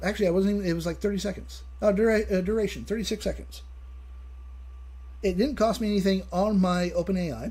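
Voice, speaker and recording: Audible room echo surrounds a man who talks at a fairly quick pace. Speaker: live streamer. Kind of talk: live stream casual chat. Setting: live stream. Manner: fast; halting.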